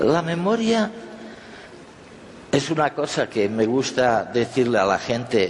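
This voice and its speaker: A man speaks at a very slow pace with very wide pitch swings. Noticeable background noise is present. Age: 70s. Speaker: conference speaker. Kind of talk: talk to an audience.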